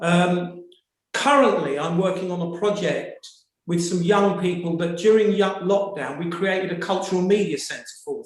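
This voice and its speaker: A man with a British accent speaks at a moderate pace, his pitch high for a man and his intonation fairly even. His loudness swings widely throughout. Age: 60s. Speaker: audience member asking a question in a webinar. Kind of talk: webinar audience comment.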